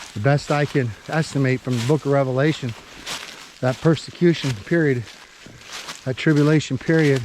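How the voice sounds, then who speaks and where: A man talks at a moderate pace with fairly even intonation, leaving long, frequent pauses. Noticeable background noise sits behind him. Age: 60s. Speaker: survival and bible prophecy vlogger. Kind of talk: casual vlog monologue while hiking. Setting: outdoors on a forest trail. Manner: folksy, informal.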